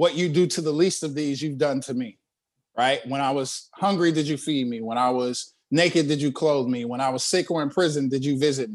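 A man's fairly high-pitched, animated voice at a fairly quick pace, with ordinary pitch variation and a quiet background. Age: 30s. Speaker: pastor and life coach. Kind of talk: casual chat.

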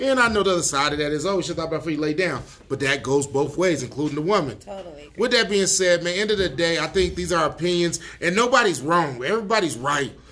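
The tone is bright and sharp, with lively intonation. The pace is very fast. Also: man, high pitch for a man. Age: 30s. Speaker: radio host. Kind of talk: casual chat. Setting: studio.

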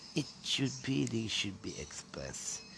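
A Filipino accent with very wide pitch swings. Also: man. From Philippines, Quezon City (Manila). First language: Tagalog. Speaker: podcaster. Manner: halting, hesitant with many fillers.

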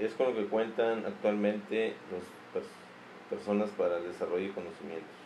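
A man at a fairly low pitch and moderate pace, fairly even intonation, noticeable background noise and audible room echo. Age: 40s. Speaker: parent. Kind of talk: interview. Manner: brief, halting answers.

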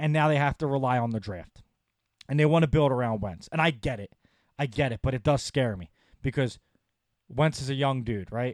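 With an American accent, a man speaks at a moderate pace in a medium pitch and an animated tone, the sound dry and close with no echo. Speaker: sports podcast host. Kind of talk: solo sports commentary podcast.

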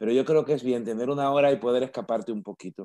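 Medium in pitch with a dark, mellow tone, a man speaks with ordinary pitch variation on a very clean recording with a silent background. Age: 50s. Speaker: radio host. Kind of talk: casual chat. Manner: animated.

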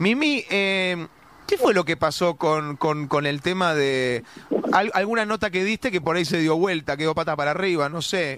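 A man talks at a moderate pace with a high pitch and ordinary pitch variation. Noticeable background noise runs under his voice. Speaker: radio host. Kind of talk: radio interview. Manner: animated.

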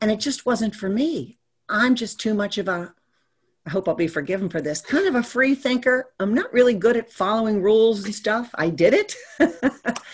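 This woman's voice sits fairly high and is somewhat breathy. Her intonation is lively and her pace moderate. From Maryland, US. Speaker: business strategist. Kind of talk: interview chat.

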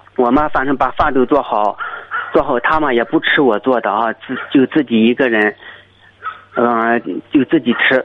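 A man talks at a moderate speed, and background noise is noticeable. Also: medium pitch for a man, ordinary pitch variation. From rural China. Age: 30s. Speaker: greenhouse watermelon farmer. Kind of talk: phone-in personal story. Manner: halting.

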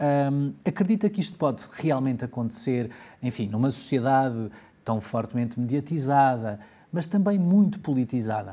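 On a very clean recording with a silent background, a man with a European Portuguese accent speaks at a moderate pace, his medium-pitched voice dark and mellow in tone with lively intonation. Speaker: health show host. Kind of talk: interview.

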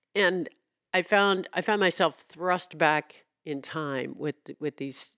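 At a very slow pace, a woman talks in a fairly low pitch with ordinary pitch variation, in a dry, close sound with no echo and a quiet background. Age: 60s. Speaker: local news reporter and podcast host. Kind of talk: casual chat; interview.

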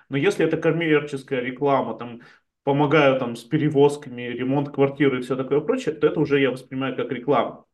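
Very fast delivery from a man with a fairly high pitch and fairly even intonation. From Chelyabinsk, Russia. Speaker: startup community founder. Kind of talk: casual interview chat. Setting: video call.

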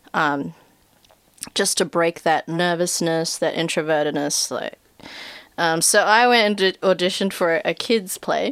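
A woman with a New Zealand accent, fairly low in pitch, at a fairly slow pace with ordinary pitch variation. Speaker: actor and animator. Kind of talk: casual chat.

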